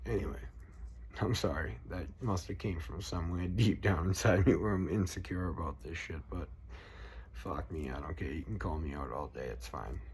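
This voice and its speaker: With a Boston accent, a man speaks at a moderate pace in a very deep, low pitch with vocal fry. His intonation is lively, and audible room echo is present. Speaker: political vlogger. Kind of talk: casual rant. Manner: animated.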